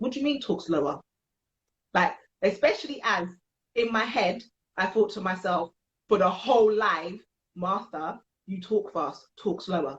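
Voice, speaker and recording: With a British accent, the speaker sounds animated and somewhat breathy, using lively intonation. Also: woman. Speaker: podcast host. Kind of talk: casual chat. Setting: livestream. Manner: fast.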